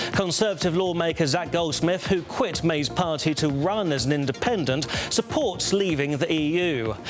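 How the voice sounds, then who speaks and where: Over music in the background, a man talks in a high pitch with ordinary pitch variation, very even loudness and hardly any pauses. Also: moderate pace. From British. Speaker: news anchor. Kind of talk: news bulletin read.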